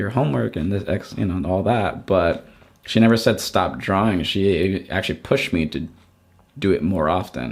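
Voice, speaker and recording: Lively intonation and a moderate pace come through on a very clean recording with a silent background. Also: man. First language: not English (learned English at seven). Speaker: artist and art educator. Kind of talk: casual interview chat. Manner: halting, many false starts.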